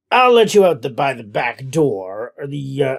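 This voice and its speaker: A gruff, put-on character voice moves at a moderate pace with lively intonation and big swings in loudness. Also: man, medium pitch for a man. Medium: read story. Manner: gruff, disagreeable.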